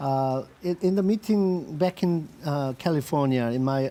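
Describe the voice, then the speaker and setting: A man with a dark, mellow tone and a fairly high pitch speaks at a fairly slow pace, his intonation lively. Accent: Korean. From South Korea. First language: Korean. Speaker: industrial designer, company CEO. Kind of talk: interview. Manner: halting with many fillers.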